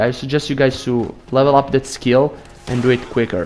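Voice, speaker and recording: Clear background noise sits behind speech delivered at an even, moderate speed. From Italy. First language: Italian. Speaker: gaming YouTuber. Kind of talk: gameplay tutorial. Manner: casual, with hesitations and self-corrections.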